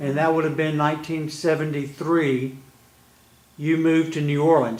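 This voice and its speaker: A man with an American accent, fairly high in pitch, monotone and flat at a moderate pace, amid noticeable background noise. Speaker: interviewer. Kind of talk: interview questions.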